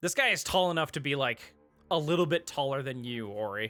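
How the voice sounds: The tone is clear and smooth, and fairly bright. The recording is very clean, with a silent background. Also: man.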